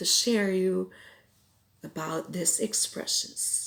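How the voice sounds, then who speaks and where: A woman at a very slow pace. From Philippines (Cebuano-speaking region). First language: Cebuano. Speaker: language teacher. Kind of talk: tutorial.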